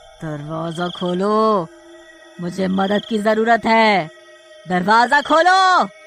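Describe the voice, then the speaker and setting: A man's cartoonish character voice, high-pitched and menacing in tone, at a very slow pace over clear music in the background. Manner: menacing, gloating.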